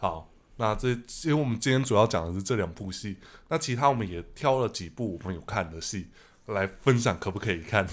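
An unremarkable speaking voice moves at a fairly quick pace with lively intonation. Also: man, fairly low pitch for a man. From Taiwan. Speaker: podcast host. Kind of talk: casual chat. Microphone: studio mic.

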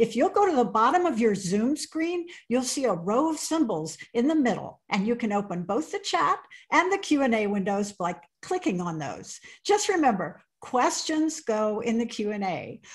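Over a quiet background, a woman talks at a moderate speed. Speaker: event host.

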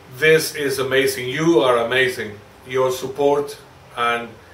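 Speaking fairly slowly with a Spanish accent, a man is heard with audible room echo and light background noise. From Spain. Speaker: woodturning video creator. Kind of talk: holiday greeting to viewers. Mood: warm, grateful. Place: workshop.

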